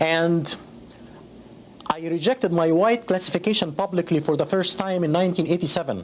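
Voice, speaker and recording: At a fairly quick pace, a man with an Arabic accent speaks at a high pitch. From Egypt. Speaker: school district employee. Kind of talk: interview testimony. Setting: conference interview.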